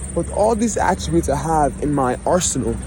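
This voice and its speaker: A man talks at a moderate pace. There is noticeable background noise as well. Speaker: vlogger. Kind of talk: personal vlog monologue. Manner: reflective.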